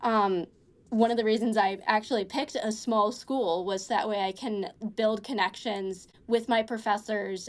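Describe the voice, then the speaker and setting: A woman talks in a fairly high voice with fairly even intonation. The background is quiet. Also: moderate pace. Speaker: college student. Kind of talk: casual interview chat. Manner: halting, many fillers.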